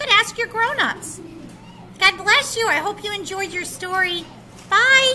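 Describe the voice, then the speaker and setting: Projecting a raised voice at a fairly slow pace, a woman speaks over light background noise. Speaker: children's Bible story teacher. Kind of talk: children's story sign-off. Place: classroom. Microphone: webcam.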